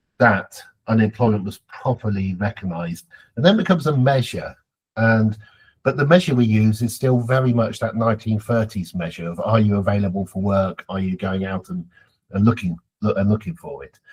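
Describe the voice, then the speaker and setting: A man with a British accent speaks at a moderate pace with a fairly low pitch and ordinary pitch variation. His voice is somewhat breathy, and his loudness swings widely. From Britain. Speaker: geography professor. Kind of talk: podcast interview.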